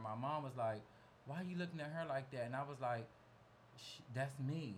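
A man with an American accent, fairly high pitch and fairly even intonation, plus audible room echo. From DMV area (Washington DC region). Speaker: celebrity makeup artist. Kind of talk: casual interview chat.

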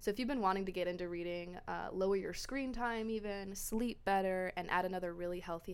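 The pace is fairly quick, in an American accent. It is an unremarkable speaking voice. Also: woman. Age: 20s. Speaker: podcast host, book club. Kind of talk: casual solo podcast monologue.

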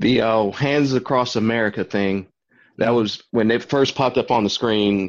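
This is a plain, everyday voice at a moderate pace. The intonation stays fairly even. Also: man, medium pitch for a man, very even loudness. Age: 30s. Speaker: podcast guest, movie commentator. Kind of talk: casual chat.

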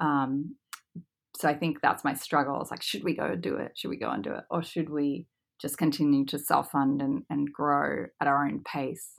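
A woman with an American accent, very deep, low pitch and vocal fry, at a moderate pace with ordinary pitch variation, in a very clean recording with a silent background. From Australia. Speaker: former professional golfer turned entrepreneur. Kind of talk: interview.

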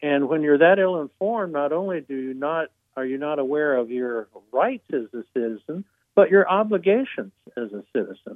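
With big swings in loudness and lively intonation, a man speaks at a moderate pace, his pitch fairly high, in an ordinary speaking voice. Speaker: author and retired judge. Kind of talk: interview.

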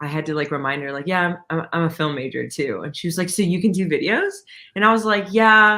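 The speaker talks fairly quickly with an American accent. The recording is very clean, with a silent background. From Texas, Dallas area. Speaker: photographer and videographer. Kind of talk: interview.

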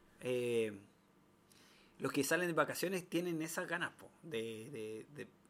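Speaking fairly slowly in a Chilean accent, a man uses lively intonation and a fairly high pitch, with long, frequent pauses. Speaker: podcast co-host. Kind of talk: casual chat.

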